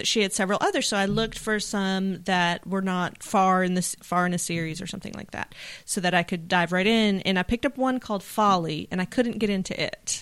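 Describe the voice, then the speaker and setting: In a very clean recording with a silent background, a woman with a plain, everyday voice speaks at a fairly quick pace with hardly any pauses, using a medium pitch and fairly even intonation. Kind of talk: casual chat.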